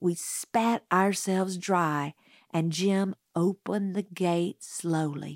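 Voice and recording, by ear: Reading aloud in a natural voice, set against a quiet background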